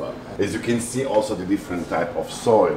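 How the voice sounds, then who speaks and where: With light background noise and audible room echo, a man speaks with fairly even intonation. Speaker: winery tour guide. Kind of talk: guided tour explanation. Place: hall. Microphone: phone near.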